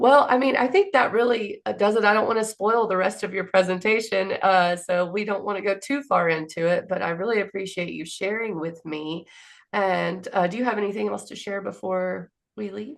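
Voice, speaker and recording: A woman with a Southern US accent at a fairly quick pace, ordinary pitch variation, and a quiet background. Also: medium pitch for a woman. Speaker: interview host. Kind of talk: interview.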